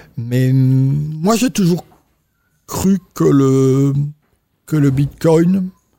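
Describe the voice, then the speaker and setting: Dark and mellow in tone, this man's voice sits fairly high in pitch. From Belgium. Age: 60s. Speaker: entrepreneur. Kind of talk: interview. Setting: hotel interview room. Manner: halting.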